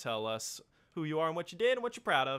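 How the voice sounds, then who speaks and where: A raised, projected voice with a bright, sharp tone and very wide pitch swings moves at a fairly quick pace on a very clean recording with a silent background. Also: man. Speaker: filmmaker hosting cast Q&A. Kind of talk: live-streamed panel Q&A. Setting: live stream. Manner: fast.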